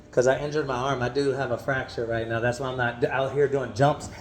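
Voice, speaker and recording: Over noticeable background noise, a man speaks in an animated tone at a very fast pace. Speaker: vlogger. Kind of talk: casual chat. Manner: loud.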